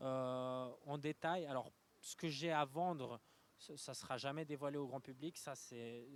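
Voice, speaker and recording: A man speaks in a fairly high pitch. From Switzerland, Lausanne. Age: 20s. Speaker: young entrepreneur. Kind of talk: interview. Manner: halting, many fillers.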